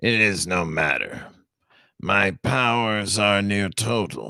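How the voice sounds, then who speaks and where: Very slow man in a put-on character voice. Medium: read story. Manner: solemn, formal.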